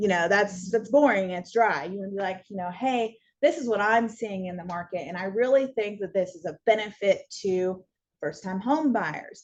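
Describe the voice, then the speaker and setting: An unremarkable speaking voice, this woman with an American accent talks at a moderate pace and medium pitch, with ordinary pitch variation and big swings in loudness. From US Pacific Northwest (Washington). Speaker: real estate course instructor. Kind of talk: continuing education lecture. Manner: casual with many fillers.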